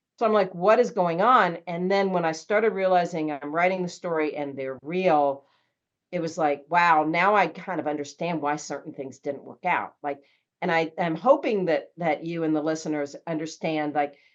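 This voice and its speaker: A woman with an unremarkable speaking voice, fairly low in pitch with ordinary pitch variation. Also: moderate pace. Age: 60s. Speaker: author and traveler. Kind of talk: podcast interview.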